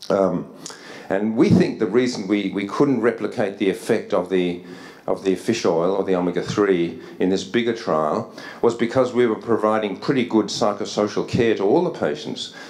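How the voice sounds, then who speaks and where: Over noticeable background noise and audible room echo, a man with an Australian accent speaks at a fairly low pitch with ordinary pitch variation. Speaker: psychiatry researcher. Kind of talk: conference lecture. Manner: fast.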